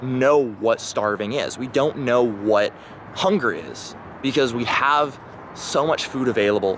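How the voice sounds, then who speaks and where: A man talks at a medium pitch with an American accent. Noticeable background noise sits behind him. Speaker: vlogger. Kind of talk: casual monologue. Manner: hesitant, many fillers.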